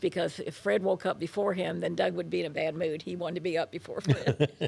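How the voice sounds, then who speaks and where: A woman with an American accent at a moderate pace, music playing in the background. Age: 80s+. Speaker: interviewee, military wife and mother. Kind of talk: life story interview.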